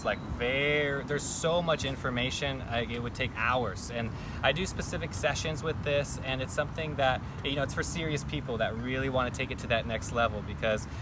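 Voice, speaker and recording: Noticeable background noise sits behind a man speaking at a very fast pace. His voice is medium in pitch with ordinary pitch variation. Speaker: iridologist, yoga teacher. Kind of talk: interview answer.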